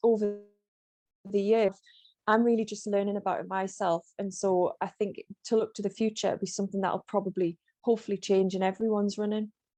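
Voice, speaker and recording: A woman with a North East England accent talks at a fairly quick pace and a medium pitch, in a dark, mellow tone. Her intonation is monotone and flat, and the sound is dry and close with no echo. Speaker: running coach and author. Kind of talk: interview.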